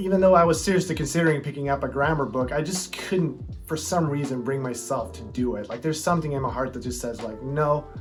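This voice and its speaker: A man's fairly high voice at a very fast pace with hardly any pauses and ordinary pitch variation, over background music and audible room echo. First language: not English. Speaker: language learning youtuber. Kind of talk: casual vlog talk. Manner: relaxed, filler-heavy.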